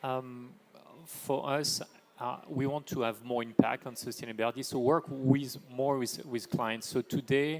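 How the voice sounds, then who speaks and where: Through noticeable background noise, a man with a French accent talks at a fairly slow pace, medium in pitch and fairly even in intonation. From France. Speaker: AI for sustainability business leader. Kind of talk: panel discussion.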